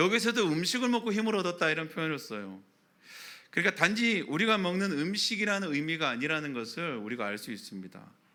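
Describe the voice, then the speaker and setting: The voice has a bright, sharp tone and very wide pitch swings at a fairly quick pace. Audible room echo colors the recording. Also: man. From Daegu, Gyeongsang, South Korea. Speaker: pastor. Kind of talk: sermon.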